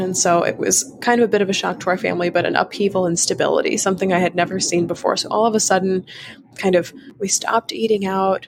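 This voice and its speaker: A woman speaks at a fairly quick pace in a medium pitch with an American accent and ordinary pitch variation. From North Carolina. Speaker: grief guide and podcast host. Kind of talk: interview conversation. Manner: casual, many fillers.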